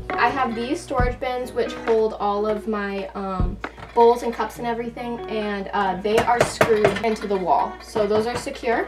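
A woman at a moderate pace with ordinary pitch variation, clear music in the background. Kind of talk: casual vlog chat. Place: bus. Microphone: camera far.

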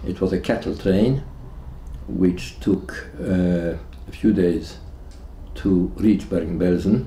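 Very slowly and with long, frequent pauses, a man speaks in a very deep, low pitch with a dark, mellow tone and vocal fry, amid audible room echo and light background noise. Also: lively intonation. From Hungary. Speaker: Holocaust survivor. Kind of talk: testimony. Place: home room.

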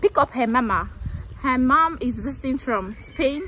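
A woman talks at a high pitch and a fairly slow pace. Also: dry sound with no echo. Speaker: vlogger. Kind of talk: casual vlog chat. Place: street. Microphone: phone near.

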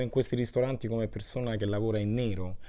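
A dark, mellow voice at a very fast pace over a quiet background. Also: man. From Rome, Italy; Italy. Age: 30s. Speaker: chef and musician; interviewee. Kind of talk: interview testimony; interview answer. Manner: halting, with repetitions. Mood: earnest, reflective. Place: home room. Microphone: lapel.

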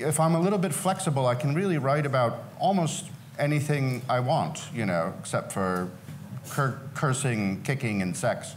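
A man talks at a moderate speed, with light noise in the background. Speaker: panelist. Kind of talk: panel talk answer. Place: hall.

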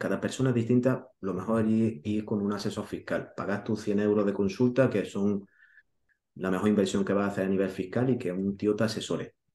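A man talks in a fairly low, dark and mellow voice with fairly even intonation. The room echo is audible. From Spain, Granada (Andalusia); Andalusia, Spain. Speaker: real estate investor and YouTuber; YouTuber. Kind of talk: interview. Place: home room.

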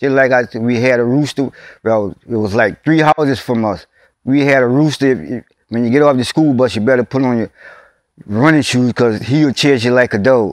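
A man with a South Louisiana accent talks at a moderate pace with ordinary pitch variation, in a dry sound with no echo against a quiet background. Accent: South Louisiana rural English. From Louisiana, USA. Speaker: oral history interviewee. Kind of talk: oral history interview answer. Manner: casual, conversational. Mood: warm, nostalgic storytelling. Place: open country.

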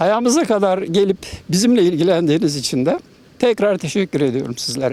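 The delivery has lively intonation and a fairly quick pace. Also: man. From Muğla region, southwestern Turkey. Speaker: farmer. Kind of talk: news interview.

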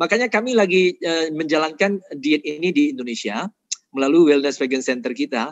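Very wide pitch swings come at a moderate pace, with a dry sound with no echo and a quiet background. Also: man. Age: 50s. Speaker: nutrition doctor and vegan advocate; speaker. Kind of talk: health lecture. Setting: online webinar. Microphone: video call.

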